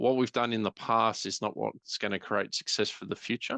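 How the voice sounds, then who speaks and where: This man has a normal speaking voice with a fairly low pitch. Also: dry, close sound with no echo. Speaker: IT business consultant. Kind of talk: webinar presentation. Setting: online webinar.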